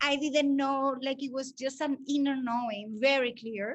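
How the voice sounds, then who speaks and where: Speaking with a Spanish accent, a woman uses a high pitch and fairly even intonation. Her pace is fairly slow. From Spain. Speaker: breathwork facilitator and language teacher. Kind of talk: interview. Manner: hesitant, many fillers.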